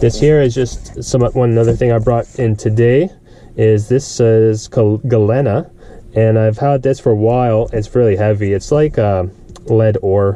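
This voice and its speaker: A quiet man's voice of medium pitch, fairly slow, with very even loudness and fairly even intonation. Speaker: scrap and resale vlogger. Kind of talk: casual vlog. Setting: flea market booth. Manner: quiet, subdued; hesitant, with fillers.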